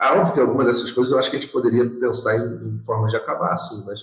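Audible room echo surrounds a man speaking with vocal fry. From Rio de Janeiro, West Zone. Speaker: podcast co-host. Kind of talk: casual chat.

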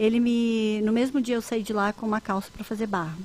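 A woman with an unremarkable speaking voice talks fairly high in pitch at a fairly quick pace. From southern Brazil, Rio Grande do Sul. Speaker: fashion designer and entrepreneur. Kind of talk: interview. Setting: live stream.

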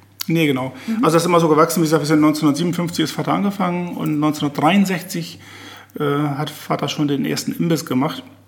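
A man talks at a moderate pace with a fairly high pitch and ordinary pitch variation. Noticeable background noise sits behind him. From northwest Germany, Oldenburger Münsterland. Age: 60s. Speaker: master butcher. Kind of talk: casual chat. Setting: in the host's kitchen. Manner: halting.

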